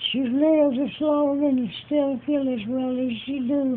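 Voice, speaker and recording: A woman's high voice with a Southern US accent. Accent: Southern American. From Georgia. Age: 80s+. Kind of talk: interview answer.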